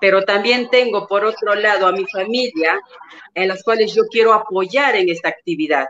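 This woman has a normal speaking voice, pitched in the medium range, with lively intonation. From Peru. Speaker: network marketing leader. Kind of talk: panel question. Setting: video call.

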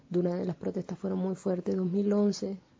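Somewhat breathy, a woman speaks at a medium pitch. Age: 20s. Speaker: radio commentator and activist. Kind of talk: casual direct address; opinion commentary.

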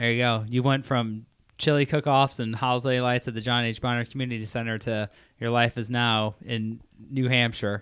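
In a very clean recording with a silent background, a man with a Midwestern US accent speaks at a medium pitch and moderate pace with monotone, flat intonation. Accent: US Midwest. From Indiana, Crown Point. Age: 30s. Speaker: host's husband. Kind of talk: casual chat.

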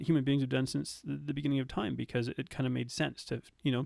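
Very fast speech in a Canadian accent, with fairly even intonation, sounds dry and close with no echo. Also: man. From Canada. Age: 30s. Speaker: nutrition coach. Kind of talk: podcast interview.

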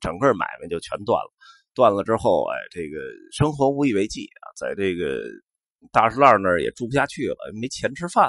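A man talks at a moderate pace with a Beijing accent. His loudness swings widely. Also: dry, close sound with no echo. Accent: Beijing Mandarin with erhua. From Beijing, Xuanwumen area. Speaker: podcast host. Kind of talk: casual monologue. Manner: relaxed with many fillers.

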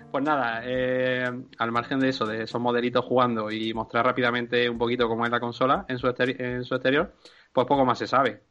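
A man's bright, sharp voice at a medium pitch, monotone and flat, with a fairly quick pace. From Andalusia, Spain. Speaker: video game podcast panelist. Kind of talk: casual chat.

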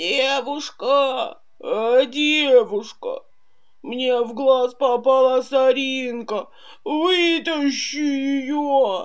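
A woman speaks with a high voice. Her pace is very slow. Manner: pleading, complaining.

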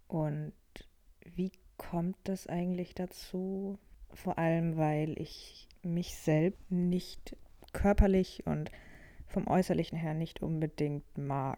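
Very slow and marked by long, frequent pauses, a woman's fairly low-pitched voice carries a dark, mellow tone and fairly even intonation. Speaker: podcaster. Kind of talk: personal monologue. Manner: unstructured, thinking aloud.

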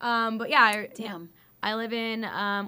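A woman speaks at a fairly slow pace in an American accent. Her tone is bright and sharp. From California, Fresno. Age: 20s. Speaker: nurse. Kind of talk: casual chat.

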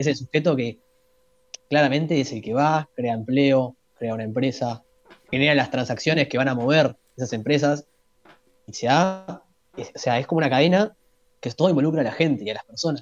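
A man with a Uruguayan accent talks at a moderate pace, leaving long, frequent pauses. His pitch is fairly high, with ordinary pitch variation. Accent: Uruguayan Spanish (rioplatense). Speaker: economics student. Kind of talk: casual chat. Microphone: bad internet connection.

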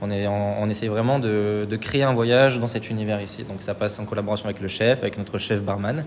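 A man at a fairly low pitch and fairly quick pace, with hardly any pauses and fairly even intonation, over noticeable background noise. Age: 20s. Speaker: painter. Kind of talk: casual interview.

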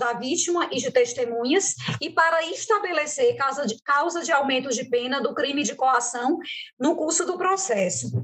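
A woman speaks at a fairly slow pace in a high voice. Her intonation is lively. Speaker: podcast co-host on public defense and penal system. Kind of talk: podcast discussion.

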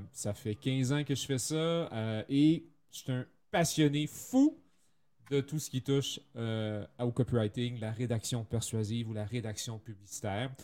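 A man with a Canadian French accent speaks at a medium pitch in a dark, mellow tone, with ordinary pitch variation and a fairly slow pace. The recording is very clean, with a silent background. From French Canada. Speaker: copywriter. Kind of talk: interview.

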